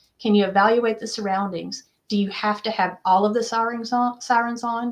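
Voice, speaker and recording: A woman speaks at a fairly quick pace. Her pitch is fairly high. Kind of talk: interview. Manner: fast.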